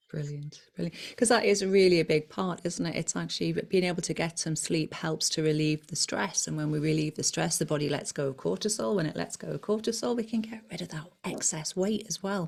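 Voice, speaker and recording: With vocal fry and a fairly low pitch, a woman speaks at a fairly quick pace, hardly pausing, with ordinary pitch variation. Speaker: hypnotherapist and weight loss coach. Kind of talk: casual interview chat.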